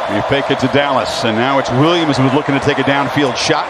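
Noticeable background noise accompanies a man speaking. His fairly high voice has an animated tone. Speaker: play-by-play commentator. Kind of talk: live play-by-play sports commentary, rapid game narration. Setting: stadium broadcast booth. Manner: animated, rising on big plays.

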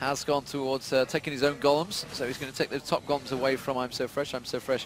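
Through noticeable background noise, a man talks at a fairly quick pace with a fairly high pitch and monotone, flat intonation. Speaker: esports caster. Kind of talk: live commentary.

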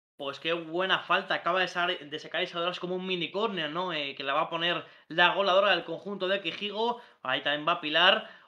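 Against a quiet background, a man with a high pitch talks at a fairly quick pace. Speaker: sports commentator. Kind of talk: live sports commentary. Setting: online stream. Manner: animated, rapid-fire play-by-play. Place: home room.

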